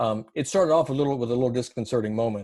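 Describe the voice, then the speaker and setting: Fairly even in intonation, a man with an American accent speaks very fast at medium pitch with a dark, mellow tone. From US South. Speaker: former prisoner. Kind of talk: interview.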